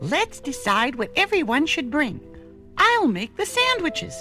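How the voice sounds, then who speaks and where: A put-on character voice, female-sounding, at a moderate pace with clear music in the background. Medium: read story.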